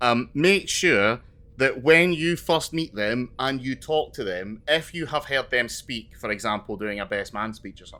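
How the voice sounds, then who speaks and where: A man with a Scottish accent, bright and sharp in tone, lively in intonation, at a moderate pace. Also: medium pitch for a man, big swings in loudness. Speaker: podcast co-host. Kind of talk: casual chat.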